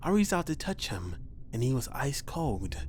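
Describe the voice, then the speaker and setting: A man with a medium pitch and a somewhat breathy voice speaks at a moderate pace in a calm tone, his pitch swinging very widely. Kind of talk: horror story narration read aloud. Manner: calm, reassuring.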